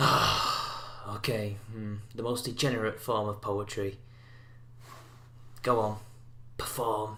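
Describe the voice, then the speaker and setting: Quiet and very slow, a man speaks at a medium pitch in a monotone, flat intonation with long, frequent pauses. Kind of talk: critical reaction commentary on a poem. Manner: sarcastic.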